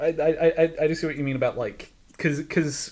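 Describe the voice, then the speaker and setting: A somewhat breathy man at a moderate pace. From Ireland. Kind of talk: casual discussion. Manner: halting, many repetitions.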